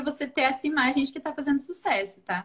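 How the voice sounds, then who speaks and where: At a fairly quick pace, a woman talks in a high voice. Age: 20s. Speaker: marketing instructor, live stream host. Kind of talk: live stream chat. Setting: social media live stream.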